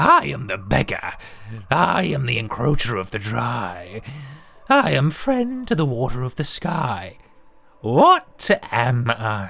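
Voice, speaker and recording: A raspy, put-on character voice delivers its lines at a fairly slow pace in a low-to-middle pitch. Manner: riddling, sly.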